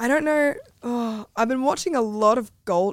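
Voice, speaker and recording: A woman at a moderate pace, in a very clean recording with a silent background. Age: 20s. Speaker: content creator and adult performer. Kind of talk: casual interview chat.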